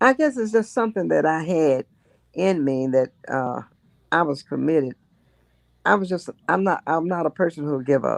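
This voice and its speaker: With a Memphis accent, a woman talks at a moderate pace in a very deep, low pitch, her lively intonation broken by long, frequent pauses, all in a dry, close sound with no echo. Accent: Southern US (Memphis). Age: 90s. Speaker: state representative, retired teacher. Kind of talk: interview answer.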